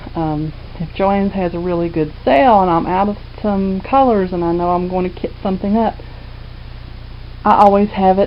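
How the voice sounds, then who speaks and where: Noticeable noise sits behind the voice. The speaking pace is moderate. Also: woman. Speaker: cross stitch video blogger. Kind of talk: casual chat. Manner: talkative; loud. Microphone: quiet volume.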